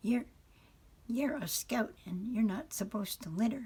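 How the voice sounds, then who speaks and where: A woman puts on a raspy character voice, pitched fairly high. She speaks at a moderate pace. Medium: read story. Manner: quacking, stammering.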